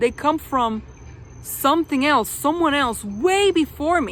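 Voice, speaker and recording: A woman with a high voice and lively intonation takes her words fairly slowly. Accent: non-native. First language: not English. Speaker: video reviewer. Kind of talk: casual vlog review. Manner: many fillers and restarts.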